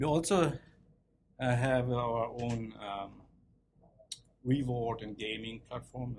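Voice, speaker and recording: The speaker talks at a very slow pace in a German accent, with long, frequent pauses. Loudness swings widely, while pitch varies in an ordinary way. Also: man. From East Germany. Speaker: tech speaker, developer advocate and researcher. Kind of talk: tech talk. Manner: hesitant, many fillers.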